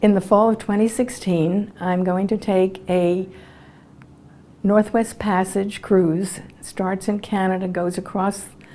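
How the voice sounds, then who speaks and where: A woman talks in an American accent with a medium pitch. Her intonation is monotone and flat, and her pace fairly slow. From Brooklyn, New York. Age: 80s+. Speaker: retired Air Force colonel. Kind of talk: interview answer.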